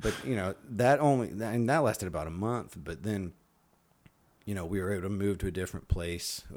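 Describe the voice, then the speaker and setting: With an unremarkable speaking voice, a man talks at a fairly quick pace in a fairly low pitch with lively intonation. The recording is very clean with a silent background. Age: 40s. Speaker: comedian and military veteran. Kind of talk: casual chat.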